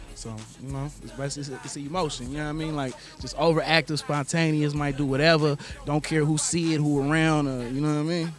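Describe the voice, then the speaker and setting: A man with an American accent at a fairly high pitch, monotone and flat, very fast, with big swings in loudness, audible room echo and noticeable background noise. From Oakland, California. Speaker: rapper and producer. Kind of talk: interview.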